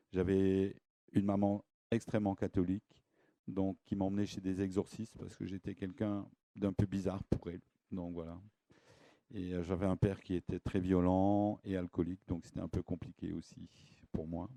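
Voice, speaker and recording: A dark, mellow voice speaks at a moderate pace in a flat monotone, with long pauses coming often. The sound is dry and close, with no echo. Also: man, very deep, low pitch for a man. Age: 60s. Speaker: esoteric lecturer. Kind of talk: lecture. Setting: stage with audience. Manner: halting.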